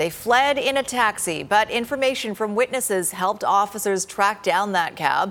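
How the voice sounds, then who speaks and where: A woman speaks at a moderate pace in a plain, everyday voice. Her pitch is medium, with ordinary pitch variation. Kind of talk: TV newsreading, anchor headlines. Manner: crisp, formal, brisk newsreader delivery.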